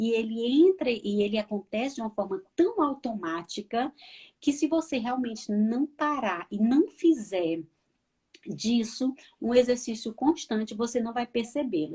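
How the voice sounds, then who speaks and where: A woman with a northeastern Brazilian accent speaks at a fairly slow pace in a fairly high, dark, mellow voice with lively intonation. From Northeast Brazil. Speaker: counselor. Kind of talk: live interview chat.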